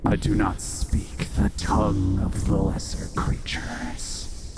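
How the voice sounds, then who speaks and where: Over loud background noise, a man whispers in a put-on character voice that is guttural and growling, at a fairly slow pace. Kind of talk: tabletop game master monster voice. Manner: curious, flattered by shiny gifts; possessive and haughty, archaic phrasing.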